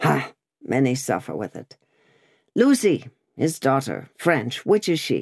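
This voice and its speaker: A man's raspy put-on character voice at medium pitch, fairly slow, with long, frequent pauses and big swings in loudness. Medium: read story. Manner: curt, questioning.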